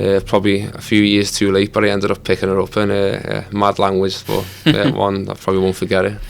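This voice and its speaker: A man with a Liverpool accent, a fairly low pitch and monotone, flat intonation, at a very fast pace with hardly any pauses, over noticeable background noise. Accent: Scouse. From Liverpool, England. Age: 30s. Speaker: footballer. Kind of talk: podcast interview.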